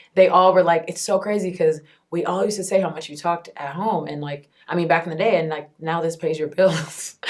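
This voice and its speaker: A woman with a fairly low pitch and an animated tone talks at a very fast pace over noticeable background noise. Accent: American. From Texas, Houston. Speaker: entertainment interviewer and TV host. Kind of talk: interview. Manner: loud.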